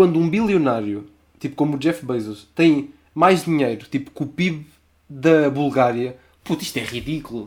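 A man with a plain, everyday voice, fairly high-pitched, at a moderate pace with ordinary pitch variation. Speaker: podcast co-host. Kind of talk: casual chat.

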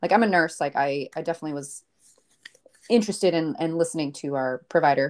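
Very deep and low in pitch for a woman, her voice has lively intonation and a very fast pace. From Maine, US. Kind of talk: personal story in interview.

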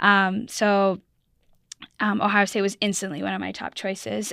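A woman's bright, sharp tone in an Ontario accent, at a medium pitch and a fairly slow pace, on a very clean recording with a silent background. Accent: Canadian English (Ontario). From Canada, Burlington, Ontario near Toronto. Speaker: college ice hockey player, Olympic gold medalist. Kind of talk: interview. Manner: halting, many fillers.

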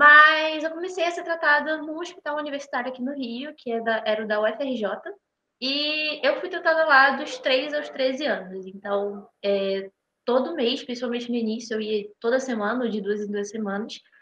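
A woman's raised, projected voice, high in pitch and bright and sharp in tone, with lively intonation at a moderate pace. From Brazil, Rio de Janeiro. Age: 20s. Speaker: medical student. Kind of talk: casual interview.

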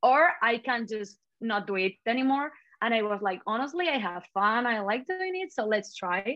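A woman's fairly high voice with a Spanish accent, very wide pitch swings and a moderate pace. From Spain (Catalonia). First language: Spanish/Catalan. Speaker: social media creator. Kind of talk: casual interview. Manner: animated, feisty; laughs often.

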